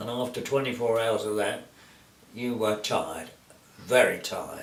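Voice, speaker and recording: Fairly slow male speech amid noticeable background noise. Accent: British. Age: 80s+. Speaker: war veteran. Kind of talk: interview answer.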